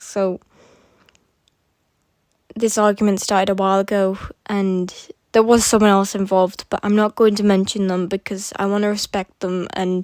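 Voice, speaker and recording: A woman speaks at a moderate pace and a medium pitch, with long, frequent pauses, in a dry, close sound with no echo on a very clean recording with a silent background. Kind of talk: casual talk to camera addressing drama. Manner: hesitant.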